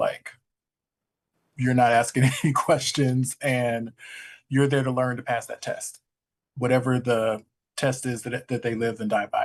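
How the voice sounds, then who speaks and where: Monotone and flat in intonation, a man speaks at a fairly slow pace with long, frequent pauses. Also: medium pitch for a man. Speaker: graduate student. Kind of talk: class discussion. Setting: classroom.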